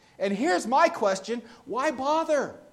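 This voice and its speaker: A man's voice is heard with audible room echo. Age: 30s. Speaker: pastor. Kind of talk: sermon. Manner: halting, frequent repeated words.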